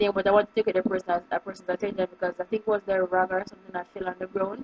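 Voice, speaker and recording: A woman speaks at a very fast pace in a Jamaican accent. Noticeable background noise runs underneath. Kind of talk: casual talk to camera.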